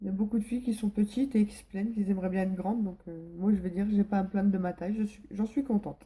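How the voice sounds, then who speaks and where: Barely pausing, a woman at medium pitch speaks in a somewhat breathy voice with fairly even intonation and big swings in loudness. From northern France, Pas-de-Calais. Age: 20s. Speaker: vlogger. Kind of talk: casual vlog Q&A. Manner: hesitant, many fillers.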